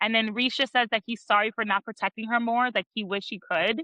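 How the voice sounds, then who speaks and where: Her pitch fairly high, a woman speaks at a fairly quick pace with fairly even intonation. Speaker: podcast host. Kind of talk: casual chat. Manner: fast.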